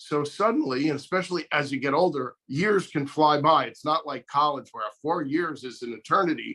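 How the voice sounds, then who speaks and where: At a moderate pace with hardly any pauses, a man speaks at a fairly high pitch in a bright, sharp tone with ordinary pitch variation. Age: 60s. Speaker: guest sharing diabetes experience. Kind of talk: interview.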